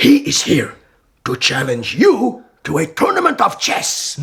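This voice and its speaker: A man's put-on character voice, high-pitched with very wide swings, at a fairly slow pace. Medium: audio drama. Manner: measured, courteous, commanding.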